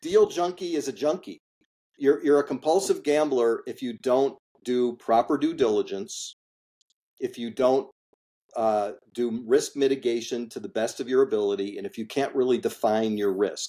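Here a man speaks with an American accent at a medium pitch and moderate pace. His tone is dark and mellow, with lively intonation. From US Midwest, Chicago suburbs. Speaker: industrial real estate investor. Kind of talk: interview.

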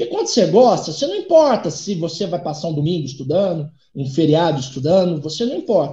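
Talking at a fairly quick pace with hardly any pauses, a man uses a high pitch, a dark, mellow tone and lively intonation. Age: 30s. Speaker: economist and doctoral student. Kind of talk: interview. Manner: halting, repeats words.

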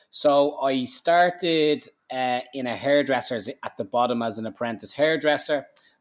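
Hardly pausing, a man with a Dublin accent speaks at a moderate pace, his fairly high pitch showing ordinary variation. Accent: Dublin Irish. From Ireland, Dublin. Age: 30s. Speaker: barber and business owner. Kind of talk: interview. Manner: animated.

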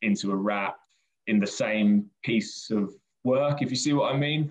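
A man with a southern English accent at a moderate pace. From southern England, Brighton. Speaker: children's poet. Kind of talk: interview. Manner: casual, hesitant.

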